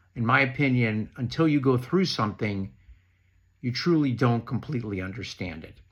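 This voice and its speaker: The pace of this man's speech is moderate. He holds a medium pitch with ordinary pitch variation. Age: 60s. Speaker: knee replacement patient sharing advice. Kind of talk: prepared talk read from notes.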